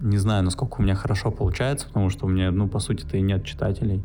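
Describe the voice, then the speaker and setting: A man with a fairly low voice speaks with ordinary pitch variation. Music plays in the background. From Russia, St. Petersburg. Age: 20s. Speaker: podcaster. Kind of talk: solo monologue. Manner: halting.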